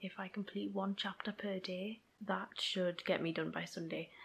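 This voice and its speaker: This woman's voice is somewhat breathy. Her pitch sits at a medium level. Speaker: writer vlogger. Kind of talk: vlog diary.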